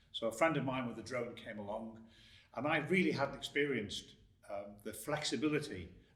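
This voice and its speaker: A man at a fairly quick pace, with ordinary pitch variation and audible room echo. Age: 60s. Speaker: drone video business owner. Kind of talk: interview.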